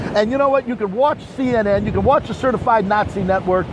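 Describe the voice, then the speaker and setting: Over noticeable background noise, a man with an American accent talks in an animated tone at an extremely high pitch. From New Jersey. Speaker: livestream host. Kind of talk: live street reporting. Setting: outdoors during hurricane. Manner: loud.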